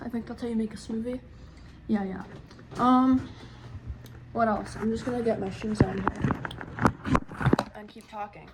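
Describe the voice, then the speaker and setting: A woman speaks at a moderate pace in a fairly high voice with ordinary pitch variation. Noticeable background noise can be heard. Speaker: vlogger. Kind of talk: casual vlog.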